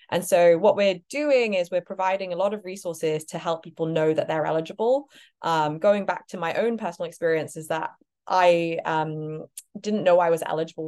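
Speaking at a fairly quick pace with a British accent, a woman uses a fairly low pitch and ordinary pitch variation against a quiet background. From Britain. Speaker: startup cofounder. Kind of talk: interview.

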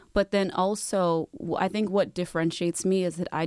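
In a dry, close sound with no echo, a woman with an American accent speaks at a moderate pace. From Detroit, US. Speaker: influencer and model. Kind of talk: interview. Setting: studio.

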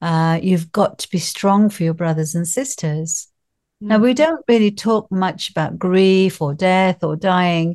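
In an ordinary speaking voice, a woman talks at a fairly slow pace with ordinary pitch variation against a quiet background. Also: medium pitch for a woman. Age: 60s. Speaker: grief coach. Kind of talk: casual interview chat.

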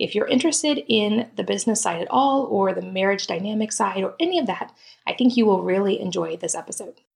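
A woman talks at a fairly quick pace with lively intonation. Vocal fry runs through her voice. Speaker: podcast host. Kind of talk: interview with sponsor reads.

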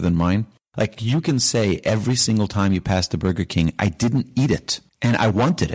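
A man with an American accent talks in a normal speaking voice at a fairly low pitch. He moves at a fairly quick pace with lively intonation. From New York. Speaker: rabbi. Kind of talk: interview. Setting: in the host's home.

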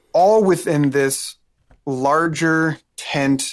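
The recording is very clean against a silent background. A man speaks with ordinary pitch variation. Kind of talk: interview conversation. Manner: wordy, talkative.

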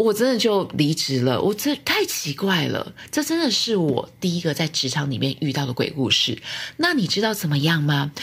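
A woman speaks in a fairly low pitch, somewhat breathy, at a moderate pace. Her pitch swings very widely. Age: 30s. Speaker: podcast host and former cram-school teacher. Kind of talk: pre-recorded storytelling.

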